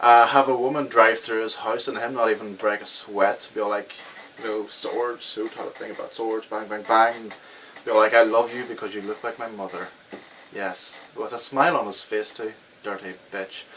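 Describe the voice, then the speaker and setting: A man with an Irish accent speaks at a medium pitch and a moderate pace, with monotone, flat intonation. His loudness swings widely, and there is noticeable background noise. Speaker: game reviewer. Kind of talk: video game review. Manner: casual, hesitant with many fillers.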